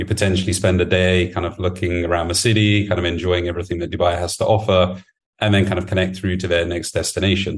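A man with a very deep, low pitch talks very fast in a British accent. His delivery is somewhat breathy and flat, in a monotone. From UK. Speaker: management consultant. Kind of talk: interview.

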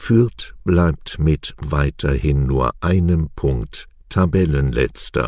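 A man's very deep, low voice, very slow in pace yet lively in intonation. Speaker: news presenter. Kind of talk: news reading. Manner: clear articulation.

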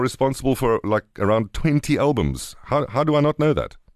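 Lively in intonation, a man with a South African accent talks at medium pitch with vocal fry, in a dry, close sound with no echo. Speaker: radio host. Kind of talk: casual chat.

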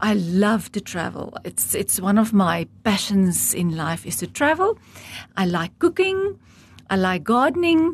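This woman has a medium pitch and a somewhat breathy voice. She speaks at a fairly slow pace with very wide pitch swings. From South Africa, rural Transvaal farm (Heidelberg). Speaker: estate agent. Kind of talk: interview.

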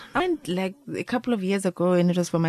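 A woman talks at a fairly quick speed with noticeable noise around her. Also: dry, close sound with no echo. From South Africa, Free State. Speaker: travel podcast host. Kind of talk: casual chat. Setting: studio.

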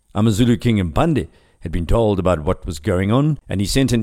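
A man with an unremarkable speaking voice talks at a fairly quick pace in a very clean recording with a silent background. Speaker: podcast host and history narrator. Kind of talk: history narration, scripted storytelling. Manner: measured, storytelling pace with wry asides; clear, formal, informative.

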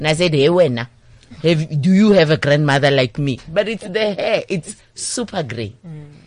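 With a very deep, low pitch, a woman speaks at a moderate pace in an animated tone, her intonation lively and her loudness swinging widely. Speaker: diversity and inclusion trainer. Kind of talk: radio interview. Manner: animated, talkative.

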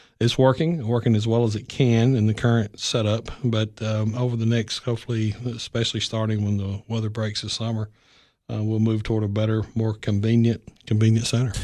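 Over a quiet background, a man with a Tennessee accent talks at a fairly quick pace and medium pitch, his tone dark and mellow and his intonation monotone and flat. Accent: Southern US (Tennessee). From US South, Middle Tennessee. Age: 50s. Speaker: county executive, retired army officer. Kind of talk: interview.

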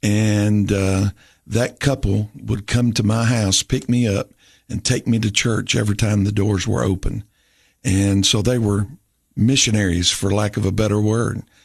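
Over a quiet background, a man with a Southern US accent talks in a somewhat breathy voice. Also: fairly low pitch for a man, fairly even intonation, fairly slow pace, very even loudness. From Tennessee. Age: 50s. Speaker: pastor. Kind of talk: interview testimony. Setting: studio.

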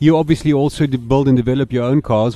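At a fairly quick pace, a man speaks with a medium pitch and a dark, mellow tone. His intonation is fairly even. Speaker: motorsport podcast co-host. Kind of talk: casual chat.

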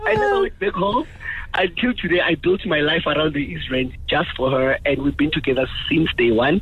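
A man with a fairly high pitch speaks fairly quickly, his intonation lively and his loudness very even. Noticeable background noise runs behind him. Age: 30s. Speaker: caller. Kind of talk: phone-in call. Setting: phone call.

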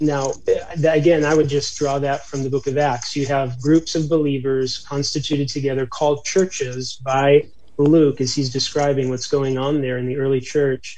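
A man talks at a moderate pace in a fairly high pitch. His voice is somewhat breathy, with monotone, flat intonation. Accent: American. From US, upstate New York. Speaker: township church planter, pastor. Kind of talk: interview. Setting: remote call.

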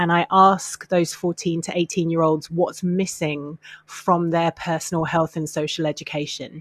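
Recorded with a dry, close sound and no echo, a woman with a British accent speaks at a fairly slow pace in a fairly low pitch with fairly even intonation. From UK. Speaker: mental health campaigner. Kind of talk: interview.

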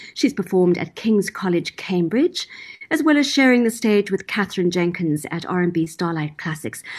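A woman speaks with lively intonation and a somewhat breathy voice against a quiet background. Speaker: radio host. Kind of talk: radio interview.

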